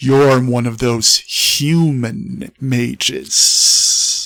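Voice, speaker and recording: In a put-on character voice, a man growls, rumbles and hisses at a very slow pace. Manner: growling.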